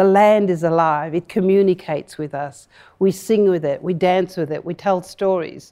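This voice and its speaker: A woman speaks at a moderate pace with a medium pitch and a dark, mellow tone. Her intonation stays fairly even, and the background is quiet. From Kimberley region, Western Australia (Broome). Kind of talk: live on-stage interview. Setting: stage with live audience in museum hall.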